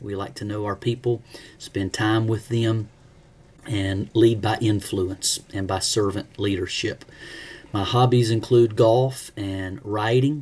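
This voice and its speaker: A man speaks very slowly with an Alabama accent. His pitch is fairly low and his intonation fairly even. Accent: Southern US (Alabama). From US South, Alabama (Leeds, near Birmingham). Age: 40s. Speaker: pastor. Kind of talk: self-introduction for a class.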